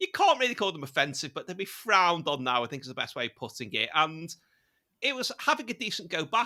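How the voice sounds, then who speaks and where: In a Liverpool accent, a man talks at a fairly quick pace with a high pitch. His tone is bright and sharp. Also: very clean recording, silent background. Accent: Liverpool (Scouse). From Liverpool, England. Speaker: British interviewee on comedy. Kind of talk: casual chat.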